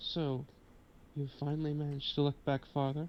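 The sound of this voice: A put-on character voice from a man, fairly high and shaky, monotone and flat, at a moderate pace over clear background noise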